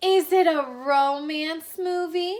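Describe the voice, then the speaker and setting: A female-sounding, put-on character voice comes out at an extremely high pitch. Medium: read story. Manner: breathless, eager.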